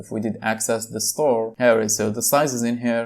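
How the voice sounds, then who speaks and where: A man with a non-native accent, medium pitch and fairly even intonation, on a very clean recording with a silent background. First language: not English. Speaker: tech tutorial youtuber. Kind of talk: screen-recorded tutorial. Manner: casual, with filler words.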